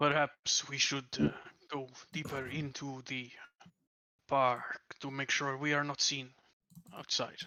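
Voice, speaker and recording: Using a put-on character voice, a man speaks at a fairly slow pace with a fairly high pitch, monotone, flat intonation, and long, frequent pauses. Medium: actual play. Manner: formal, clipped.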